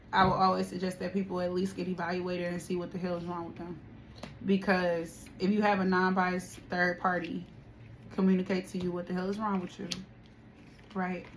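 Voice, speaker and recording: Medium-pitched female speech at a fairly quick pace, monotone and flat, broken by long, frequent pauses. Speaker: tarot reader. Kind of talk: spiritual reading and casual talk to viewers. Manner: quieter and calmer than usual; casual, repetitive phrasing.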